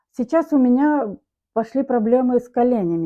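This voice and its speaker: Lively intonation marks a woman's speech. She talks at a moderate pace. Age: 60s. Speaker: customer giving a product testimonial. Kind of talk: testimony.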